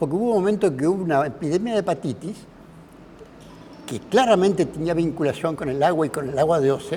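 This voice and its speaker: A man speaks with a high pitch. His voice makes very wide pitch swings. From Uruguay, Canelones (Sauce and Pando). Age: 80s+. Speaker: professor and engineer giving a public talk. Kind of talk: public talk. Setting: cultural centre with live audience. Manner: conversational, many fillers.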